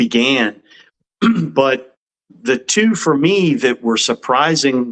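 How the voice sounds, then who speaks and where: Very slowly, a man with an American accent speaks at a medium pitch with lively intonation. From USA. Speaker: metal musician. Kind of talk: interview.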